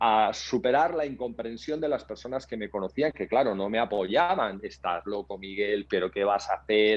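The speaker is a man with ordinary pitch variation. His delivery comes at a fairly slow pace. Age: 50s. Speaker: entrepreneur; podcast guest. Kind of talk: interview. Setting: video call. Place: home room. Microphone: earbuds.

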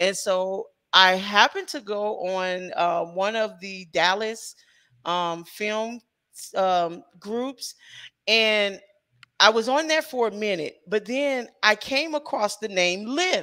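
Speaking very slowly with an American accent, a woman uses lively intonation and a fairly high, bright, sharp voice against a quiet background. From US Midwest, St. Louis. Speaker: independent filmmaker and writer. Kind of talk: interview. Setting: video call livestream. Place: home room. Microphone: headset.

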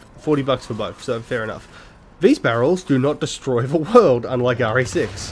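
A man with an Australian accent talks over light background noise. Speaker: gaming YouTuber doing a blind let's play. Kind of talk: live gameplay commentary. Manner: casual, halting with many fillers. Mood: relaxed, joking.

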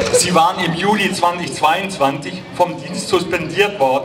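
Over noticeable background noise, a man speaks at a high pitch with ordinary pitch variation. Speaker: rally speaker for an antifascist association. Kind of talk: rally speech at a demonstration, formal and prepared. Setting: outdoors, PA system at a protest. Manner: formal; earnest and steady, address to comrades. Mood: serious, critical. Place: street. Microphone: handheld.

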